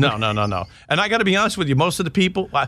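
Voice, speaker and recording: With a New York accent, a man talks at a very fast pace in a bright, sharp tone. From New York, Long Island. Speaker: retired police intelligence officer and author. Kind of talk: interview.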